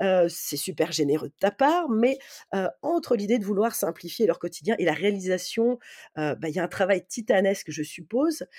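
A woman with a dark, mellow tone and very wide swings in pitch. She talks at a moderate pace on a very clean recording with a silent background. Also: medium pitch for a woman. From north-eastern France near the German border. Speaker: podcast host. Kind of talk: casual podcast chat.

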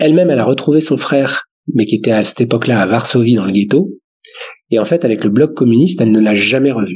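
A fairly quick pace with ordinary pitch variation. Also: man. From Paris suburbs, France. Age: 40s. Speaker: family business governance consultant. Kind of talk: casual interview. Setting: remote recording from home.

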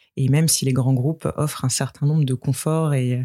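A woman's very deep, low pitch with a dark, mellow tone. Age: 30s. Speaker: company executive. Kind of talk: interview. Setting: outdoors on a terrace.

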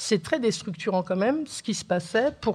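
A woman speaks with lively intonation. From northern France, Oise (born in Algeria). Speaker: writer and art historian. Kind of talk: testimony on a panel.

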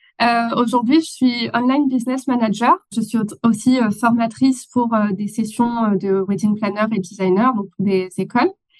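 A woman uses a plain, everyday voice, fairly high in pitch, at a fairly slow pace with ordinary pitch variation. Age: 30s. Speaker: online business manager. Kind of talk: interview.

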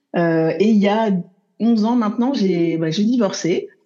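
Her voice dark and mellow in tone, a woman speaks with ordinary pitch variation. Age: 40s. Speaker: love coach. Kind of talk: interview conversation.

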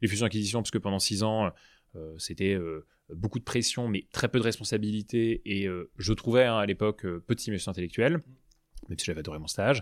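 At a fairly quick pace broken by long, frequent pauses, a man speaks at a fairly low pitch with ordinary pitch variation, in a dry, close sound with no echo on a very clean recording with a silent background. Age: 30s. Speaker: startup co-founder. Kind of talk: interview. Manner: animated.

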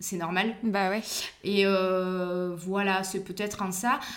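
Over audible room echo, a woman speaks at a very slow pace with medium pitch. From Provence, southern France (Vaucluse). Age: 30s. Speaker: winegrower. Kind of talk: interview. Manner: hesitant, many fillers.

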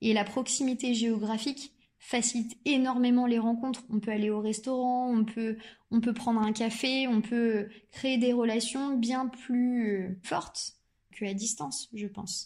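A woman with an unremarkable speaking voice, fairly high in pitch and fairly even in intonation, is heard on a very clean recording over a silent background. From Normandy, France. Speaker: startup founder, neuroscientist. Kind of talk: interview.

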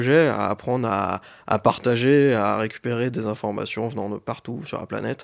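In a very clean recording with a silent background, a man with a normal speaking voice talks at a moderate pace. His pitch is medium, with ordinary variation. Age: 20s. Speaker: IT engineer. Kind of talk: interview.

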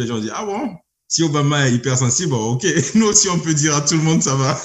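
A slightly breathy man talks at a fairly quick pace with lively intonation. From Burkina Faso. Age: 30s. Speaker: engineer and entrepreneur. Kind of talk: interview. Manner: hesitant, many fillers.

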